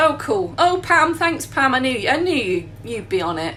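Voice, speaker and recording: A woman with an English accent at a moderate pace, with noticeable background noise and audible room echo. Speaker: baker. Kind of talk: tutorial. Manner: animated.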